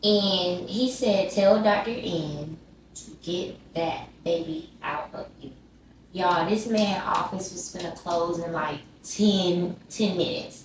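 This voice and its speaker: Noticeable background noise accompanies a woman with a Southern US accent who speaks at a very slow pace with big swings in loudness. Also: medium pitch for a woman, ordinary pitch variation. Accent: Southern American. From Georgia, USA. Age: 20s. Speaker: YouTuber. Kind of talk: casual storytime talk to camera. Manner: animated, chatty.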